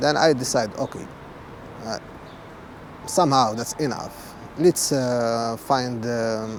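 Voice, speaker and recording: With an Arabic accent, a man speaks at a very slow pace with long, frequent pauses and ordinary pitch variation over noticeable background noise. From Morocco, Marrakesh. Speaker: refugee and interpreter. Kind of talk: testimony. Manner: halting.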